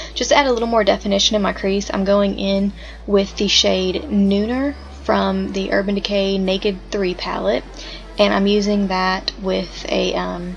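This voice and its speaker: A woman with a Southern US accent speaks over noticeable background noise. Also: moderate pace. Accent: American country. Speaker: makeup enthusiast. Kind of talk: makeup tutorial voice-over. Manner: casual, chatty.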